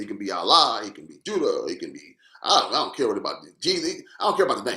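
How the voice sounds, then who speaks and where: With audible room echo around him, a man speaks at a very fast pace with big swings in loudness. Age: 60s. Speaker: social commentator. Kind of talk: live stream monologue. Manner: animated.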